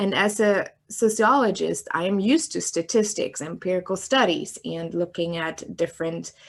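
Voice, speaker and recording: A woman with a German accent speaks at a medium pitch and moderate pace, with lively intonation and vocal fry. She barely pauses, and the recording is very clean with a silent background. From Germany (East Germany). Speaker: sociologist and filmmaker. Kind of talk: interview. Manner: hesitant, many fillers.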